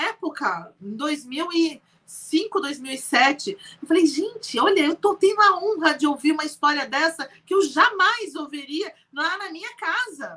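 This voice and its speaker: Raised and projected, a woman's extremely high voice is animated, bright and sharp, with lively intonation, big swings in loudness and a moderate pace. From Brazil. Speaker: entrepreneur. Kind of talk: interview.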